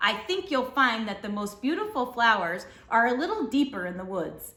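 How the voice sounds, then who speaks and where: A woman puts on a raspy character voice at a fairly high pitch. She keeps a moderate pace. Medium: read story. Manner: smooth, scheming.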